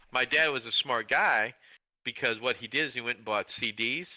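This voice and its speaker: Recorded very cleanly against a silent background, a man speaks at a fairly quick pace in a bright, sharp tone, the sound dry and close with no echo. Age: 60s. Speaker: podcast co-host. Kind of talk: casual chat. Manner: halting.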